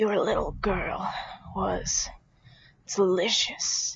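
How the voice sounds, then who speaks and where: A female-sounding, raspy put-on character voice. It moves at a very slow pace. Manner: menacing.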